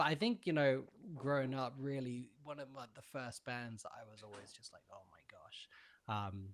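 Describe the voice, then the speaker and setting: A British accent at a moderate pace, with ordinary pitch variation and big swings in loudness. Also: man, medium pitch for a man. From England, Bedford. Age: 30s. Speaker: music producer and session guitarist. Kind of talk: podcast interview. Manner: hesitant, many fillers.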